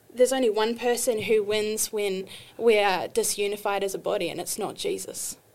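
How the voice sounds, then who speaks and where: A woman speaks with a New Zealand accent at a moderate pace. Her intonation is monotone and flat. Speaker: artist and ministry student. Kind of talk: casual interview chat.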